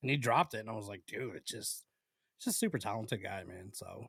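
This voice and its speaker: A man's somewhat breathy, animated voice at a very fast pace. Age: 30s. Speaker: podcast co-host. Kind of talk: casual chat.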